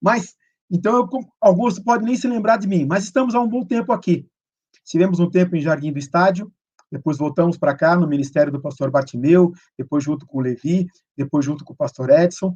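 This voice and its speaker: A man's high voice with lively intonation at a fairly quick pace. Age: 60s. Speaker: pastor. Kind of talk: sermon. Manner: casual, joking.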